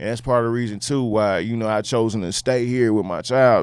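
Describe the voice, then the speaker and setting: A man with a Houston accent talks at a very fast pace. His pitch is fairly low. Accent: Southern US, Houston. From Houston, Texas. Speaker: rapper. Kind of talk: casual chat.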